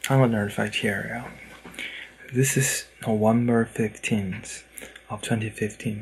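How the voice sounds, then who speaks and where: A quiet man speaks at a fairly slow pace and a medium pitch, with fairly even intonation and long, frequent pauses. Noticeable background noise runs under his voice. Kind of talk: vlog to camera. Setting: indoors, in a room at night. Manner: hushed, keeping voice down; halting, with fillers.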